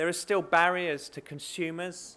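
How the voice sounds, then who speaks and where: This recording is very clean and the background is silent. A man talks fairly slowly. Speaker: keynote speaker, bank managing director. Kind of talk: conference keynote speech. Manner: hesitant, many fillers.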